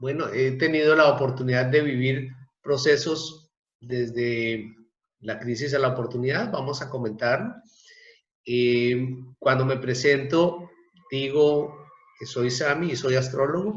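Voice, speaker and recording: At a fairly slow pace, a man speaks in a medium pitch with ordinary pitch variation, long, frequent pauses and audible room echo. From Colombia, Bogotá. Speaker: astrologer. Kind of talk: casual interview chat.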